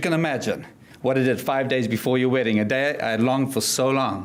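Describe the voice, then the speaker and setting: A man with a South African accent talks at a very fast pace. The room echo is audible. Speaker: motivational speaker. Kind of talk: keynote speech. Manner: energetic.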